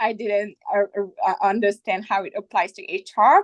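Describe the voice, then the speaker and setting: A woman with a non-native accent speaks at a medium pitch and moderate pace. The sound is dry and close, without echo. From outside the US. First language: not English. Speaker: HR executive, MBA alumnus. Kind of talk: panel discussion. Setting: webinar. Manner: hesitant, many fillers.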